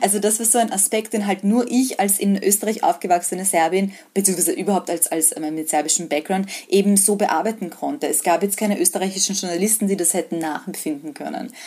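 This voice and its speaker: An unremarkable speaking voice from a woman, medium in pitch with ordinary pitch variation, at a fairly quick pace with hardly any pauses. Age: 20s. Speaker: freelance journalist. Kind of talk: interview. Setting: video call.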